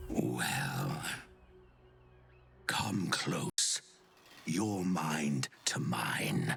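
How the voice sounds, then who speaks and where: A man does a put-on character voice at a fairly low pitch with very wide pitch swings. Faint music plays in the background. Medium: video game. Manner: polite, sly, faintly menacing.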